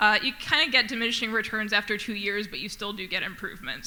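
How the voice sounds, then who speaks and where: Fairly quick speech from a woman at a middle pitch, with echo from the room clearly heard. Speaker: conservation researcher. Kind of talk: conference talk. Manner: fast.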